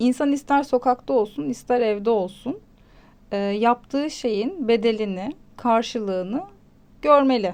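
A woman speaks in an ordinary speaking voice, fairly high in pitch, with lively intonation. Her pace is fairly slow and her loudness very even. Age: 30s. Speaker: psychology commentator, mother. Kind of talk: casual chat.

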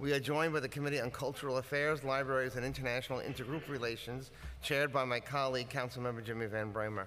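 Speaking at a very fast pace with fairly even intonation, a man is heard against light background noise. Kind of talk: formal opening statement. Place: hall. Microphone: podium.

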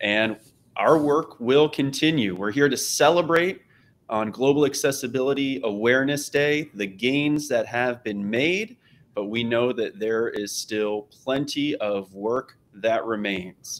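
At a fairly slow pace, a man of medium pitch talks in a plain, everyday voice with ordinary pitch variation. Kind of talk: panel discussion. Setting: video call.

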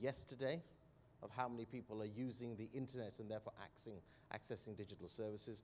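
With light background noise, a man speaks in a British accent. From United Kingdom. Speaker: corporate citizenship executive. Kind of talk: panel discussion. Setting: stage with audience at a conference. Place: stage. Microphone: lapel.

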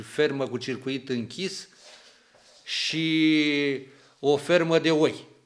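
A man's voice over a quiet background. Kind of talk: interview answer. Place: office. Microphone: handheld.

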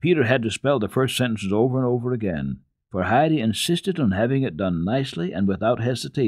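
Lively intonation from an unforced reading voice, quiet all around

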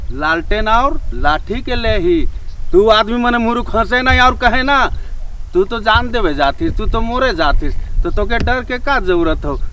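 There is light background noise. A man speaks at a very slow pace. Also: dry sound with no echo. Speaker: folk storyteller. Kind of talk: storytelling monologue with moral commentary. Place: open country.

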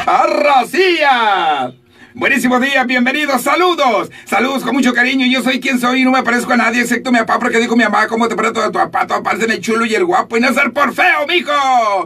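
A man's raised, projected voice at an extremely high pitch, with an upbeat tone, ordinary pitch variation, a fairly quick pace and hardly any pauses. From Sinaloa, Mexico. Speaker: radio announcer. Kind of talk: morning radio show host talk. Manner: upbeat, joking. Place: booth. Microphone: studio mic.

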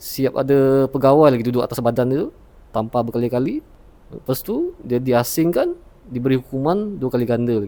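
Moderate pace, a man's dark, mellow tone, medium pitch and ordinary pitch variation. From Sarawak, Malaysia. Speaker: retail assistant, former naval cadet. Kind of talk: testimony.

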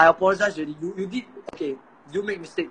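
A man with a Singaporean accent talks at a very fast pace in a high voice, with light background noise behind him. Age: 20s. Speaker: polytechnic student. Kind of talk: roast battle banter. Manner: animated. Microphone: phone near.

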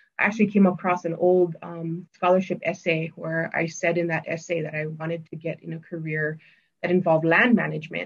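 A woman's fairly low, somewhat breathy voice in a monotone, flat intonation, with big swings in loudness. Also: fairly quick pace. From Hawaii (Maui, Lahaina); Hawaii. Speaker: conservation agency grazing specialist; guest. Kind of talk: casual interview. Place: office. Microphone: webcam.

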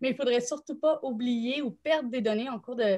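In a Quebec accent, a woman speaks at a high pitch with ordinary pitch variation against a quiet background. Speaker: nonprofit director supporting thesis writers; panelist, thesis coach. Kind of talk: live panel discussion. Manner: hesitant, many fillers. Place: home room. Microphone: video call.

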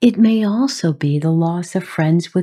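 With a dark, mellow tone and a gentle, somewhat breathy quality, a woman speaks. Her pace is fairly slow, and her pitch variation is ordinary. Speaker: podcast host. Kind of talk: podcast monologue on grief. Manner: gentle, compassionate.

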